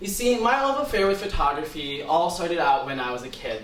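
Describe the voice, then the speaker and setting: Over noticeable background noise and audible room echo, a man speaks with an American accent. His pace is fairly quick and his intonation lively. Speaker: student speaker. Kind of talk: talk.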